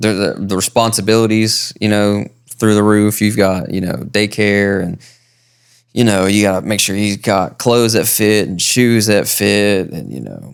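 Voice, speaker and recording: A man with an American accent and a fairly low pitch speaks at a moderate pace with fairly even intonation, on a very clean recording with a silent background. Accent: thick country. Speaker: podcast co-host. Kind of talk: casual chat. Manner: halting, many fillers and repeats.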